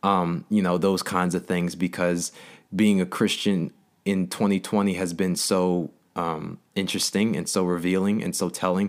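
A man with an American accent speaks in a very deep, low pitch at a fairly slow pace. His intonation is monotone and flat, on a very clean recording with a silent background. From New Jersey. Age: 20s. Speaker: podcast host. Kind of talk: solo monologue. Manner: casual, halting with fillers.

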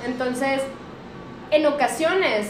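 A woman with a Mexican accent and high pitch speaks at a moderate pace amid noticeable background noise and audible room echo. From Mexico, Aguascalientes. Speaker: podcast host. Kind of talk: casual chat.

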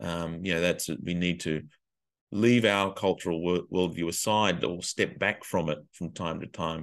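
Monotone, flat delivery with an Australian accent at a moderate pace over a quiet background. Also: man. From Australia, Illawarra region of New South Wales. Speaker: educator and education consultant. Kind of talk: casual interview.

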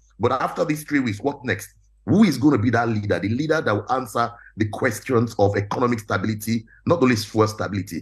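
A man talks at a very fast pace. His voice is somewhat breathy, with ordinary pitch variation. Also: medium pitch for a man. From Nigeria. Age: 40s. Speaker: real estate entrepreneur. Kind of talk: panel discussion. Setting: video call.

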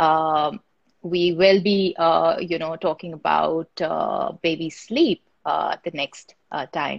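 Speaking at a very slow pace, a woman uses a fairly low pitch with vocal fry and fairly even intonation. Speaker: webinar host. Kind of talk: live webinar moderation.

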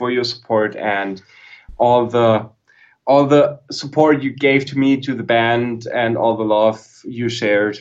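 Speaking at a fairly slow pace, a man uses a medium pitch and fairly even intonation. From southern Germany. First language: German. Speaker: guitarist and guitar YouTuber. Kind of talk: casual chat. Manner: halting, repeats words.

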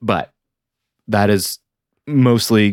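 A man speaks with an American accent. The recording is very clean with a silent background, and the sound is dry and close with no echo. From Michigan, near Flint. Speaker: filmmaker and zine creator. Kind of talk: casual chat.

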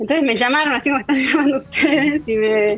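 Noticeable background noise sits under this woman's voice. She speaks at a fairly quick pace with fairly even intonation. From Argentina. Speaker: food technologist. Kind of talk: interview. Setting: video call.

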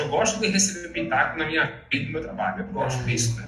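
Over noticeable background noise and audible room echo, a man speaks at a very fast pace with lively intonation and a fairly high pitch. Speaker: technology specialist. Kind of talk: casual interview chat.

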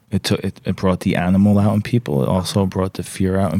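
A man with an American accent, a very deep, low pitch and a dark, mellow tone, talking fairly quickly in a monotone, flat way, the sound dry and close with no echo. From New York. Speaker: podcast host. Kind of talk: casual chat.

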